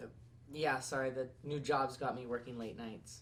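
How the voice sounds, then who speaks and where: A man puts on a character voice, raspy and medium-pitched, delivering lines at a moderate pace in a monotone, flat intonation with clear background noise behind him. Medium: short film. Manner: hesitant, stammering.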